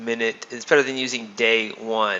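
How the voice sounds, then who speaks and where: Against noticeable background noise, a man speaks at medium pitch and a moderate pace in a flat monotone. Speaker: trading system developer giving webinar. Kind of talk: screen-share tutorial. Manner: casual with fillers.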